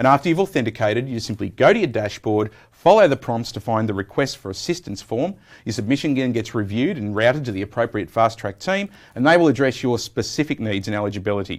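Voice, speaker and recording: A man with an Australian accent, very fast-paced and lively in intonation. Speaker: software program manager. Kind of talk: technical interview.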